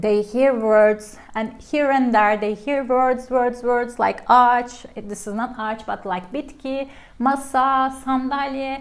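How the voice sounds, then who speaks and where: With a Turkish accent, a woman speaks very slowly at a high pitch, her intonation fairly even. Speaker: language teacher. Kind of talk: tutorial. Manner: casual, halting with self-corrections.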